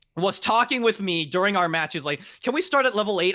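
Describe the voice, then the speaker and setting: A man speaks loudly at a very fast pace with a bright, sharp tone. The recording is very clean, with a silent background. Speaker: gaming podcast host. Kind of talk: casual chat. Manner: loud, high energy; fast, talkative.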